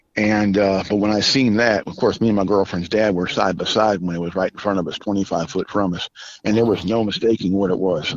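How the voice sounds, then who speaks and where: Speaking at a fairly quick pace with an American accent, the voice is a normal speaking voice with ordinary pitch variation. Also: man. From Southern California. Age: 60s. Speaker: military veteran. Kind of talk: eyewitness testimony.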